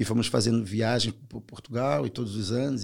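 A man with a strong Carioca accent and a medium pitch. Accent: strong Brazilian (carioca). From Brazil, Rio de Janeiro (Belford Roxo). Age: 40s. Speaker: author. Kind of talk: casual interview.

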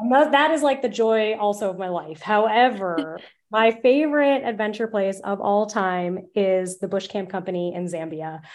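Over a quiet background, a woman with an American accent and an ordinary speaking voice talks at a medium pitch and moderate pace, with lively intonation and hardly any pauses. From United States. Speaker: travel journalist. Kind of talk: interview.

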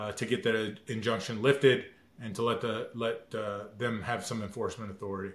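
Fairly even intonation marks a man speaking at a fairly quick pace. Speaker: lawyer. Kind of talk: legal explanation. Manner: halting, many fillers.

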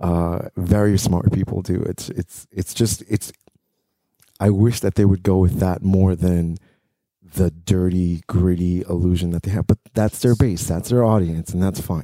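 This man has a very deep, low pitch and a dark, mellow tone, delivered in a flat monotone. He speaks at a fairly slow pace, and the sound is dry and close with no echo. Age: 40s. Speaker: podcast host. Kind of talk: casual chat.

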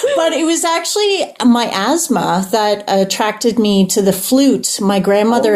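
A woman with a Canadian accent talks over noticeable background noise. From Ontario, Toronto Island. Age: 40s. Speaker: musician. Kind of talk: casual interview. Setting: video call.

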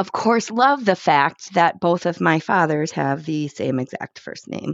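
In an American accent, a woman talks at a fairly slow pace with lively intonation, using an unremarkable speaking voice pitched fairly low. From Chicago, South Side. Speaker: guest sharing a DNA discovery story. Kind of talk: personal testimony.

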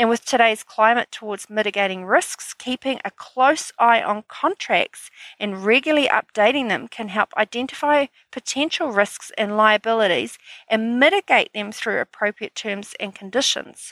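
A woman speaks with a New Zealand accent. The recording is very clean, with a silent background. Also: fairly high pitch for a woman, ordinary pitch variation, moderate pace. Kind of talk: solo podcast monologue. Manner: upbeat, energetic.

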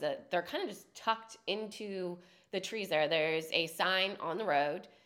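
A woman's medium-pitched voice with a bright, sharp tone, lively intonation and a moderate pace. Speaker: local lifestyle podcast co-host. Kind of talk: casual chat.

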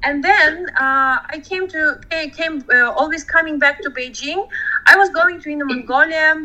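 Raised and projected, a woman's extremely high voice carries ordinary pitch variation and big swings in loudness. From Georgia. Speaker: horseback travel organizer. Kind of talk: interview.

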